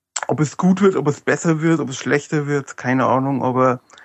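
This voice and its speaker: Fairly even intonation at a moderate pace, in an Upper Franconian accent. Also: man. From Upper Franconia, Germany. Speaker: fan forum administrator, autograph collector. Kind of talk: casual chat.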